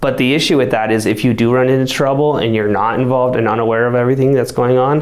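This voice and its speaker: A man speaks very fast with hardly any pauses, very even loudness and fairly even intonation, over noticeable background noise and audible room echo. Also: medium pitch for a man. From Colorado, US. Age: young. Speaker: mayor and teacher. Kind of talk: interview. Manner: casual, with fillers.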